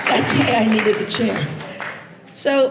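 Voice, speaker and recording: With crowd noise in the background and audible room echo, a woman speaks at a moderate pace. Her fairly high voice has lively intonation. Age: 80s+. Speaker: motivational speaker. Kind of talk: conference keynote talk. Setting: stage with audience. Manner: animated.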